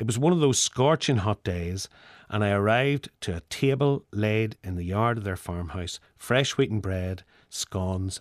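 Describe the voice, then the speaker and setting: In a Northern Irish accent, a man speaks at a fairly low pitch and a fairly slow pace with ordinary pitch variation, on a very clean recording with a silent background and a dry, close sound with no echo. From Northern Ireland. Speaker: essayist. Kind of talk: scripted narration.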